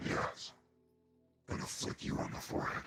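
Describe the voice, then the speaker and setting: A man's put-on character voice at a moderate pace. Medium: actual play. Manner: smug, blunt.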